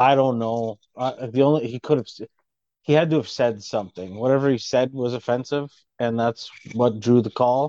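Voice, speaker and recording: With a dark, mellow tone, a man talks at medium pitch and a moderate pace, his intonation fairly even and the sound dry and close with no echo. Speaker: football podcast co-host. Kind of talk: casual sports banter. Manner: jokey, casual.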